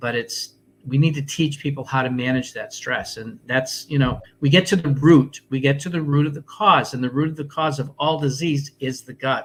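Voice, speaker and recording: The voice is somewhat breathy, moving at a moderate pace with hardly any pauses and fairly even intonation. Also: man, fairly high pitch for a man. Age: 60s. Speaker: health and wellness coach. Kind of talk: interview. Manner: hesitant with fillers.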